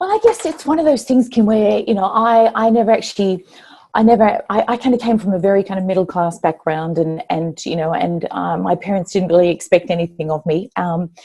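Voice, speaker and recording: With an Australian accent, a woman speaks in a dark, mellow tone with lively intonation. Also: medium pitch for a woman, fairly quick pace. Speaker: former corporate executive, author. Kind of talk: interview. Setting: live online interview.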